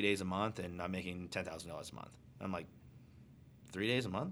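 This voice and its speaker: With an American accent, a man in an unremarkable speaking voice talks at a fairly quick pace, fairly low in pitch, his intonation fairly even. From Arizona. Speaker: airline pilot. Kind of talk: casual chat.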